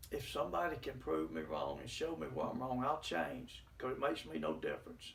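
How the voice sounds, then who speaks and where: Amid audible room echo, a man talks at a fairly quick pace with hardly any pauses. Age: 70s. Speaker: lay preacher. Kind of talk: religious teaching broadcast.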